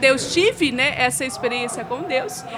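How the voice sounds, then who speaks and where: A woman speaks at a moderate pace in a high voice with very wide pitch swings, with audible room echo and noticeable background noise. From Brazil, Minas Gerais (Belo Horizonte). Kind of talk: interview testimony.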